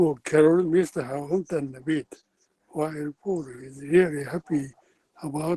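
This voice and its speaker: Speaking at a fairly slow pace with a Japanese accent, a man with a fairly high pitch has a dark, mellow tone and fairly even intonation, recorded with dry, close sound and no echo. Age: 80s+. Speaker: English learner. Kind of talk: answering lesson questions.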